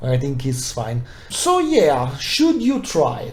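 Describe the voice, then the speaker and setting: Noticeable background noise and audible room echo surround a man who speaks very slowly at a fairly high pitch with ordinary pitch variation. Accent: non-native. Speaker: tabletop wargaming youtuber. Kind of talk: unscripted review. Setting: recorded video to camera. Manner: hesitant, many fillers.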